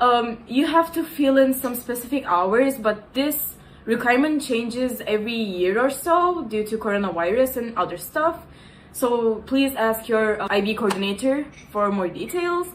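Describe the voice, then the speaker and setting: A woman's voice sits high and has lively intonation. She keeps a moderate pace. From Turkey. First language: Turkish. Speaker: content creator. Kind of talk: casual tutorial vlog. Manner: animated, casual.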